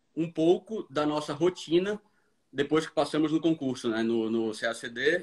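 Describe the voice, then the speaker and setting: With ordinary pitch variation, the man talks in a fairly high voice. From Brazil, Recife (Pernambuco). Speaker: diplomat. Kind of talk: casual live-stream chat.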